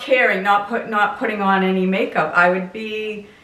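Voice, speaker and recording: A woman's voice is heard with noticeable background noise and audible room echo. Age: 60s. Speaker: lifestyle vlogger. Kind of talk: casual chat. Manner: conversational, informal.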